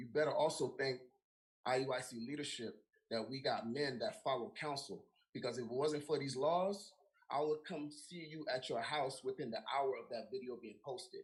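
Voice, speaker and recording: A man with an American accent talks at a moderate pace in a fairly high, somewhat breathy voice with ordinary pitch variation. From South Florida, Miami. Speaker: religious group member. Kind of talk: heated call-out on a livestream.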